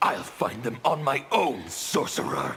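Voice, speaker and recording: A man puts on a character voice with a growl. He speaks at a fairly slow pace. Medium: video game.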